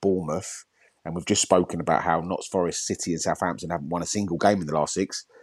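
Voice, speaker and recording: Dry and close with no echo, the sound carries a man's very deep, low voice. He talks at a fairly quick pace. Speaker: football podcast host. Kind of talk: casual chat about football.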